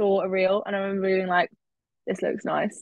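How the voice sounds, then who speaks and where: A woman with a southern English accent speaks at a medium pitch and a fairly quick pace. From England, Cambridge. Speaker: university student. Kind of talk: casual chat.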